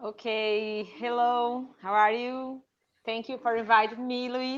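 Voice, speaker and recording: A woman with a Brazilian accent, high pitch, monotone, flat intonation and a very slow pace. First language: Portuguese. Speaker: journalist and cycling activist. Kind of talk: interview. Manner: halting.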